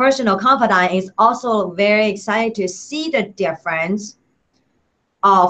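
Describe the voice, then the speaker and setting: A woman's bright, sharp tone at medium pitch. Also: ordinary pitch variation, moderate pace. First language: not English. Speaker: product reviewer. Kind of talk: product review vlog. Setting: Google Hangout video. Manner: halting, many fillers.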